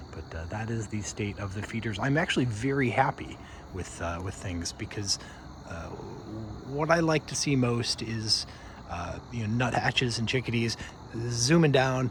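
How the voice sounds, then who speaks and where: A soft-spoken man of medium pitch with lively intonation, a moderate pace and long, frequent pauses. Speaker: backyard birdwatcher vlogger. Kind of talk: casual video update.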